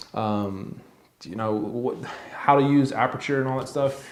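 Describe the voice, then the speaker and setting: Room echo can be heard. It comes from a man talking. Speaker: YouTuber reviewing camera gear. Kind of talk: casual tutorial to camera. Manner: halting, with fillers.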